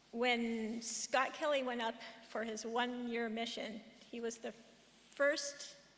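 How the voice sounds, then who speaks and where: Over audible room echo, a woman speaks fairly slowly in a fairly high, monotone, flat voice with long, frequent pauses. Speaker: professor, conference speaker. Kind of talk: conference talk. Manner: slightly slurred speech.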